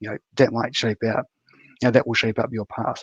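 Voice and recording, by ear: With a New Zealand accent, a man speaks at a fairly quick pace and a medium pitch, his fairly bright tone carrying a slightly husky edge, with little pitch movement and a dry, close sound with no echo.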